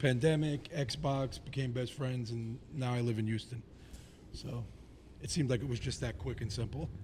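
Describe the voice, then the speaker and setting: A man with an American accent speaks at a fairly quick pace, his voice somewhat breathy and his pitch varying in an ordinary way. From Staten Island, New York. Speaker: band musician. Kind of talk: casual chat.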